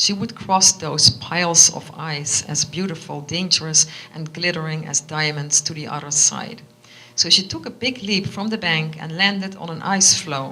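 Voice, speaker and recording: Over noticeable background noise, a woman with a Dutch accent speaks at a moderate pace and a fairly low pitch, with ordinary pitch variation and big swings in loudness. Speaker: author. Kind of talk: reading aloud; casual chat. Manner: halting.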